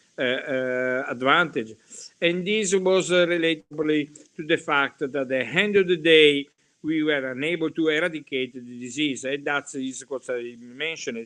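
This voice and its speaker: A man with an Italian accent, fairly high in pitch, at a fairly slow pace with ordinary pitch variation. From Italy. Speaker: hematology professor. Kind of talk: lecture. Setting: webinar. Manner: halting.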